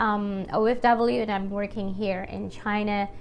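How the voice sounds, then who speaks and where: In a room with audible echo, a woman with a fairly high pitch speaks at a very slow pace and with fairly even intonation. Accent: Filipino. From Philippines. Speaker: YouTuber and teacher. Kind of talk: casual vlog talk. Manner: hesitant, many fillers.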